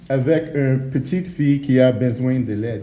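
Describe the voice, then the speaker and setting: Amid audible room echo, a man speaks very slowly in a dark, mellow tone, his fairly high-pitched voice somewhat breathy. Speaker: preacher. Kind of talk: sermon. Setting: church. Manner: halting, many hesitations.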